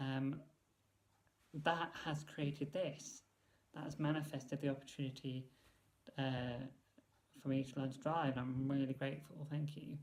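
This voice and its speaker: Pitched fairly high, a man's voice is somewhat breathy and monotone, with flat intonation. He keeps a moderate pace with long, frequent pauses. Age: 30s. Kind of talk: vlog monologue. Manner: halting, many fillers.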